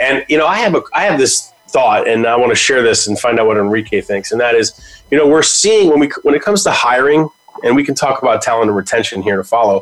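Lively intonation from a man at a medium pitch, with noticeable noise in the background. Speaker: radio host. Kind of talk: radio DJ patter: upbeat broadcast host signing off. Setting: radio studio broadcast. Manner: bright, enthusiastic, warm, punchy sign-off energy.

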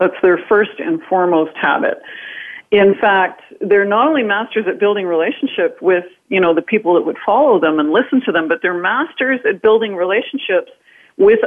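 With a Canadian accent, a woman speaks at a moderate pace and medium pitch, her intonation lively, in an ordinary speaking voice. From northern Canada. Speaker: author and influence speaker. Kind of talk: interview.

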